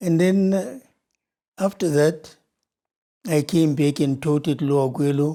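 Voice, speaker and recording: Moving at a fairly slow pace with long, frequent pauses, this dark, mellow voice shows ordinary pitch variation on a very clean recording with a silent background. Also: man, fairly high pitch for a man. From Zimbabwe. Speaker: retired educator. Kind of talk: interview.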